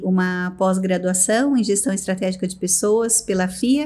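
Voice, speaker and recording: Music plays in the background as a woman talks at a fairly slow pace and medium pitch. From Brazil, São Paulo state (Americana). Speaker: business executive. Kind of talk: interview.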